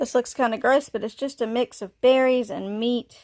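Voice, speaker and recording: A woman speaks at a moderate pace in a very clean recording with a silent background and a dry, close sound with no echo. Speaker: reptile keeper and video creator. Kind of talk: casual tutorial.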